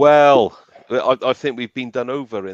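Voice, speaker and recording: A man speaks with a South Wales accent at a moderate pace. The sound is dry and close with no echo, over a quiet background. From Wales (South Wales, Cardiff / Barry Island). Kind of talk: casual chat. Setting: live stream show. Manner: halting, many repeated words.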